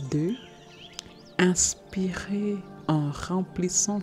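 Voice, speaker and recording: Over music in the background, a woman talks very slowly in a soothing tone with lively intonation. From Germany-based. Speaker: meditation guide, personal transformation coach. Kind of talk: guided meditation. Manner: soothing, slow.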